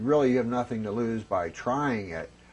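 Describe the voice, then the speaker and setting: A man speaks in an unremarkable speaking voice, pitched in the medium range. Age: 50s. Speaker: former smoker giving testimonial. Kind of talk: testimony.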